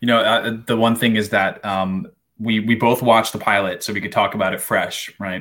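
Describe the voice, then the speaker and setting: This man speaks in a plain, everyday voice at a fairly low pitch, with fairly even intonation and a fairly quick pace. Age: 20s. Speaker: podcast co-host. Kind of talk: casual chat.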